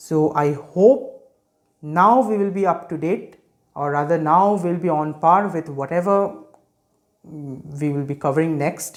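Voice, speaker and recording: The speaker has an Indian accent. The pace is fairly slow. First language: Hindi. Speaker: medical education youtuber. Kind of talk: lecture. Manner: hesitant with fillers.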